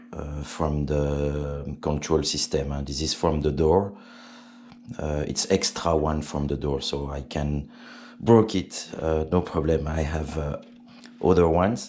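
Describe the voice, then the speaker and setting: Very slowly and with fairly even intonation, a man with a French accent speaks in a very deep, low pitch. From Belgium, French-speaking. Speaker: RC helicopter hobbyist. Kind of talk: tutorial. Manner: halting, many fillers.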